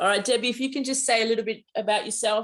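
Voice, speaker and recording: A woman at a very fast pace. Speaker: mediumship teacher. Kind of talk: online class instruction. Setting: video call.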